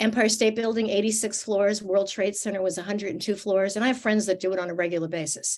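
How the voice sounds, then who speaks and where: A woman speaking at a very fast pace with hardly any pauses. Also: medium pitch for a woman. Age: 60s. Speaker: fitness and nutrition expert. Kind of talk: interview. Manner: animated.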